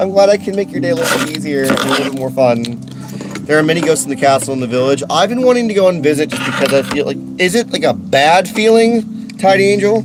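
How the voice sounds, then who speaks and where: The words come out at a very fast pace while noticeable noise runs in the background. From London (Catford, South London). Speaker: streamer and voice actor. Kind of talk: casual live-stream chat. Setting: home recording studio. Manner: animated.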